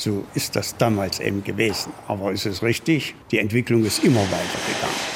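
Over noticeable background noise, a man with a fairly low voice speaks at a moderate pace with hardly any pauses. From Thuringia, Apolda area. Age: 70s. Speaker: classic car restorer. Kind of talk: interview.

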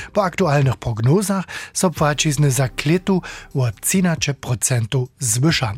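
A man with fairly high pitch and a somewhat breathy voice speaks at a very slow pace, taking long, frequent pauses. His intonation is lively and his loudness very even, with a dry, close sound and no echo. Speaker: radio reporter. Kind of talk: radio interview explainer.

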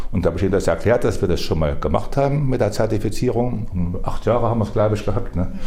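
In a room with audible echo and noticeable background noise, a man with a fairly low voice talks very fast with hardly any pauses. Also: ordinary pitch variation. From Thuringia, Erfurt. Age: 70s. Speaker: market gardener. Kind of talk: interview on location. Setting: outdoors.

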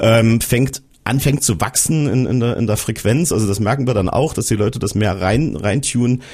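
Noticeable background noise sits behind a man speaking at a medium pitch. His pace is moderate, and his pitch variation is ordinary. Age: 40s. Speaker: radio reporter. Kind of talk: casual panel discussion.

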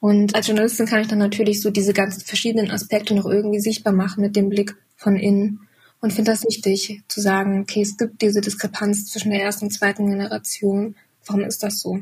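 A woman's somewhat breathy, medium-pitched voice, very fast, with monotone, flat intonation. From eastern Germany. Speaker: journalist and filmmaker. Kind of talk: casual chat.

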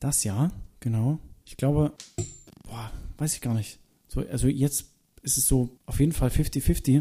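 With an East German accent and music behind him, a man talks at a fairly slow pace and medium pitch, with ordinary pitch variation, long, frequent pauses and big swings in loudness. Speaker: singer. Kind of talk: interview. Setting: at home.

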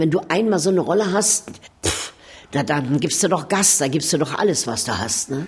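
A woman speaks at a moderate pace with lively intonation. There is noticeable background noise. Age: 70s. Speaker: actress. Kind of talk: interview.

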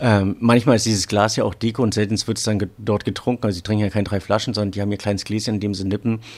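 A man rushes along at a very fast pace with hardly any pauses, his fairly low pitch in a monotone, flat intonation. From northern Germany, Rügen. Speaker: wine sommelier. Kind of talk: casual interview. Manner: halting.

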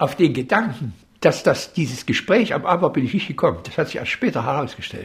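Somewhat breathy, a man speaks at a fairly quick pace with very wide pitch swings. The recording is very clean, with a silent background. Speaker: furniture designer. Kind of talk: interview.

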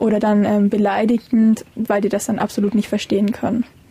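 Over noticeable background noise, a woman speaks fairly quickly at a fairly high pitch, her intonation flat and monotone. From Saxony, Vogtland. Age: young. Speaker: interviewee, young wife. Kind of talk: interview. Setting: in a caravan.

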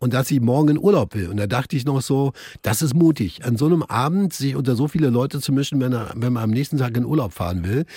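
Somewhat breathy, a man speaks at a very fast pace with lively intonation on a very clean recording with a silent background. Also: medium pitch for a man. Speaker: radio host. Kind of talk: casual chat. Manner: animated.

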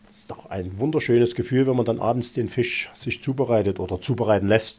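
Lively intonation and a dark, mellow tone from a man speaking at a fairly quick pace. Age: 50s. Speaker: pond fish farmer. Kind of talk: casual interview.

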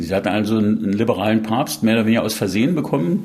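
Noticeable background noise under a man's voice at medium pitch. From Saxony, East Germany. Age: 60s. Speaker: pathologist. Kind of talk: interview.

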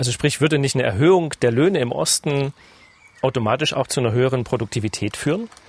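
This man talks at a very fast pace, his medium-pitched voice somewhat breathy and his intonation lively. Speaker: radio business journalist, podcast host. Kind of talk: podcast interview.

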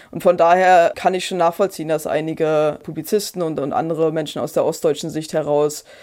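Very clean and set against a silent background, a woman's fairly low voice has a dark, mellow tone and monotone, flat intonation. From Brandenburg, eastern Germany. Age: 30s. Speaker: historian and author. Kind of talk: interview. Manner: hesitant, with fillers and repetitions.

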